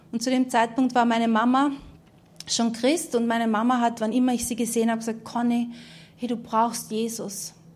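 Monotone and flat, the voice keeps a moderate pace amid audible room echo. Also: woman, fairly high pitch for a woman. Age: 30s. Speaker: preacher. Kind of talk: sermon testimony. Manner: halting.

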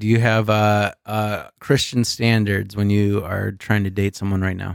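A man with a fairly low pitch speaks at a very slow pace. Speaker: podcast host. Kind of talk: casual chat. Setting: drinking beer while recording. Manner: joking, laughs a lot.

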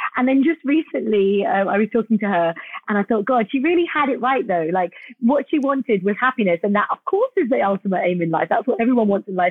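With a British accent, a woman of medium pitch speaks at a very fast pace with lively intonation. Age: 40s. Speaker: cosmetic dentist. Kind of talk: interview.

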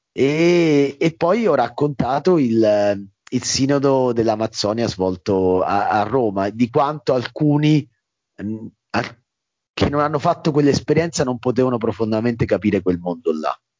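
Moving at a fairly slow pace, a man speaks at a medium pitch with lively intonation. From Italy, Marche (Macerata province). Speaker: documentary filmmaker. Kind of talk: interview. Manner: halting, with repetitions.

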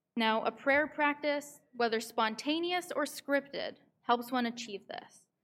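A woman with a Canadian accent talks at a fairly slow pace in a high pitch with ordinary pitch variation, on a very clean recording with a silent background. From Canada, Vancouver. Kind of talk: sermon. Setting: synagogue service.

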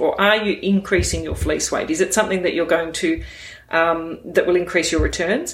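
Someone with an Australian accent talks at a fairly quick pace against noticeable background noise. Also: woman. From northwest New South Wales, Australia. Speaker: sheep genetics expert, academic. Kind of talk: interview.

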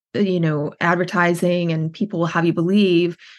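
A woman speaks with a Western Canadian accent against a quiet background. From Canada, Edmonton, Alberta. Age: 40s. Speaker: writing workshop founder in recovery. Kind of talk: personal story in interview.

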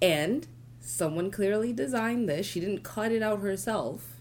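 A woman with vocal fry and very wide pitch swings at a fairly slow pace, with audible room echo. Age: 30s. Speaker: painter and artist. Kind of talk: casual chat. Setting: studio.

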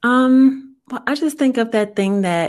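Woman with an American accent on a very clean recording with a silent background. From US South, New Orleans. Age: 30s. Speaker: guest, software analyst. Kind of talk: personal testimony.

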